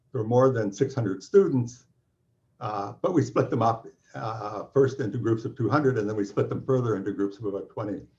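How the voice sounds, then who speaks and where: In a Canadian accent, a somewhat breathy man speaks fairly quickly at medium pitch with ordinary pitch variation. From Canada. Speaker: physics professor. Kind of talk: welcome talk. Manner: halting.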